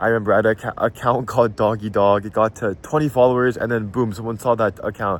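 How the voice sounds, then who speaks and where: Talking very fast, a man uses a fairly low pitch with an American accent. His intonation is fairly even. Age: young (19). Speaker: content creator, student. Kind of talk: casual vlog monologue. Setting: outdoors at tennis courts. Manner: casual, some hesitations and repeats.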